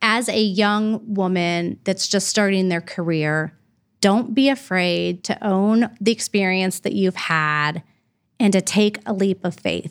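Very slowly, a woman with an American accent speaks at a medium pitch. Her pitch varies in an ordinary way, and the recording is very clean with a silent background. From US Midwest, Columbus, Ohio. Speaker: nonprofit fundraising executive. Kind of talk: interview.

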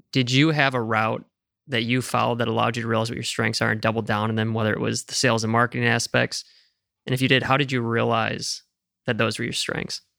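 This man talks at a very fast pace in a medium pitch with a bright, sharp tone. His intonation stays monotone and flat, with vocal fry throughout. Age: 20s. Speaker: podcast co-host. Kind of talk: interview.

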